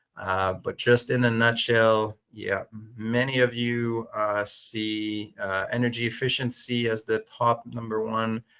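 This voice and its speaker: Man with a French accent and a medium pitch. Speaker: webinar host, tech company vice president. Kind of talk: webinar Q&A and poll moderation. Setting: online webinar. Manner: many filler words, hesitant.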